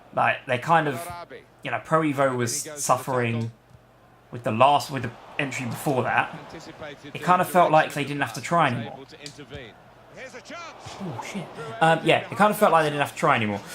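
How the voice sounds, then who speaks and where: A quiet man at a moderate pace, ordinary pitch variation, long and frequent pauses, noticeable background noise. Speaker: gaming YouTuber. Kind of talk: gameplay commentary. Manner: casual.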